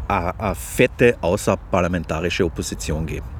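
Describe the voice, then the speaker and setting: With noticeable background noise behind him, a man talks at a very slow pace. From Austria, Carinthia (Klagenfurt). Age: 50s. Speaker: journalist. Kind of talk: casual interview chat. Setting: outdoors on a park bench.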